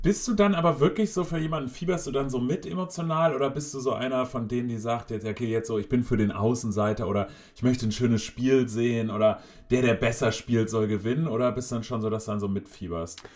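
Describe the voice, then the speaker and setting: Talking at a very fast pace, a man uses a medium pitch and lively intonation. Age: 30s. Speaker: podcast co-host. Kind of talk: casual chat.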